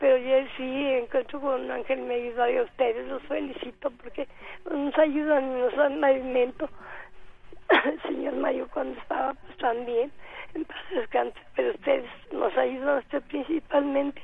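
A woman's high voice at a fairly slow pace, fairly even intonation, big swings in loudness, noticeable background noise. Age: 80s+. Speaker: caller. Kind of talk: phone testimony.

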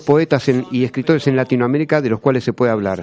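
Speaking in a plain, everyday voice, a man uses lively intonation at a medium pitch. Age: 50s. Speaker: radio host. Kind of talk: radio show. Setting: studio.

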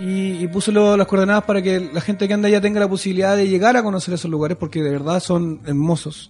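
A man's high, very fast speech in a Chilean accent, with fairly even intonation and hardly any pauses, over music in the background. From southern Chile, countryside near Concepción. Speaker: singer-songwriter. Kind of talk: casual interview. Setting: radio studio.

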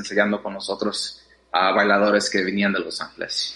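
A man speaks in a bright, sharp tone. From Mexico, raised in US from age six. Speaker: dancer. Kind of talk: interview. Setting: remote call. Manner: hesitant with many fillers.

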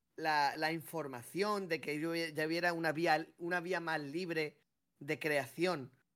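The man's voice is fairly high, with a bright, sharp tone. He speaks at a very slow pace with fairly even intonation. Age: 30s. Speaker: podcast co-host. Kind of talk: casual chat.

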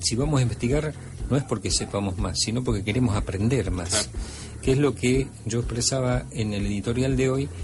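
The man's pitch is fairly low. Noticeable background noise is present. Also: lively intonation, moderate pace. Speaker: radio host and ufologist. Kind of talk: radio talk show.

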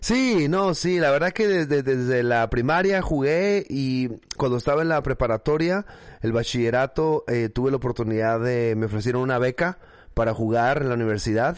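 A man with a northern Mexican accent speaks at a moderate pace and medium pitch, with lively intonation and very even loudness over a quiet background. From northern Mexico, Mexicali, Baja California. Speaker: pastor and church planting network founder. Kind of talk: casual interview. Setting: video call.

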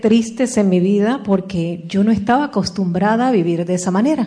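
A woman speaks in a somewhat breathy voice. Her pitch shows ordinary variation. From Puerto Rico. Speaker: motivational speaker. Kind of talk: motivational talk.

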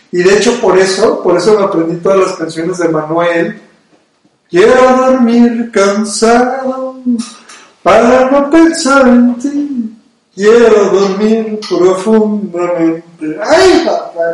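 In audible room echo, a man with a high pitch talks at a very slow pace, his intonation lively. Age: 30s. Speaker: radio and video podcast host. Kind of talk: casual chat.

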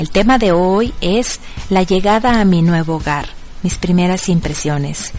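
Amid noticeable background noise and audible room echo, a woman at medium pitch speaks at a fairly slow pace with lively intonation. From Mexico. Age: 40s. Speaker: internet radio host. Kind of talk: radio show presenting.

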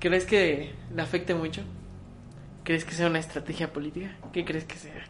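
A woman speaks at a moderate pace with long, frequent pauses, music playing in the background and audible room echo. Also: fairly low pitch for a woman, fairly even intonation. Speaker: podcast co-host. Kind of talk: casual chat.

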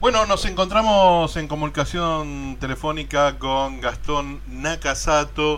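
Very slow speech from a man, amid noticeable background noise and audible room echo. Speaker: radio host. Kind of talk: radio interview.

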